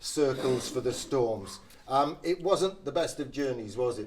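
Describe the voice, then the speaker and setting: Ordinary pitch variation marks a man's voice at a medium pitch. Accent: slight northeast English. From northeast England. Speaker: club media host. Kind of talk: casual chat.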